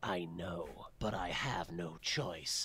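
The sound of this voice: A man's cartoonish character voice, low-pitched with a bright, sharp tone, slow pace and ordinary pitch variation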